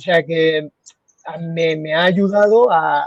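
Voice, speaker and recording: A man's voice is recorded with a dry, close sound and no echo. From Spain, Murcia. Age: 30s. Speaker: radiologist. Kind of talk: interview conversation. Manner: halting.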